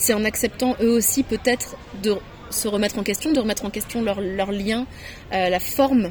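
A woman talks at a moderate pace. There is noticeable background noise. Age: 30s. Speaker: author. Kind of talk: interview testimony. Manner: halting.

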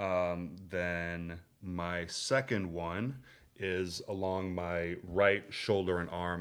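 Very deep and low in pitch, a man with an American accent speaks with fairly even intonation. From US Midwest, Minneapolis. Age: 40s. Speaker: labor organizer. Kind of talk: casual interview conversation. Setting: in-person recording.

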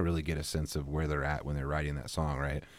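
In an American accent, a man talks at a very fast pace. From Pacific Northwest, southwest Washington. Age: 30s. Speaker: musician. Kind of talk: casual interview.

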